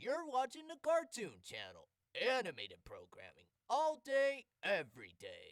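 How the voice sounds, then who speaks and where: A man uses a cartoonish character voice pitched extremely high. He talks at a moderate pace. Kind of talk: TV channel announcement.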